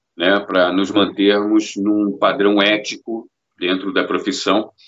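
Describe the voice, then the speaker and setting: This is a man speaking. His pitch is fairly low. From Rio de Janeiro, Brazil. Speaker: voice actor and dubbing director. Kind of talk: interview answer.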